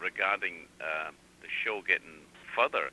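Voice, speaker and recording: A man with an Edinburgh accent at a moderate pace, in a dry, close sound with no echo. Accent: Edinburgh Scottish. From Scotland, Leith near Edinburgh. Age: 60s. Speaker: radio show co-host. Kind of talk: radio interview. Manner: halting, many fillers.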